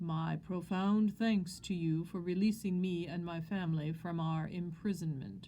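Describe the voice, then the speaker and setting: A woman's put-on character voice, fairly low in pitch, with fairly even intonation at a moderate pace, plus clear background noise and hissing. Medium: read story. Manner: formal, theatrical.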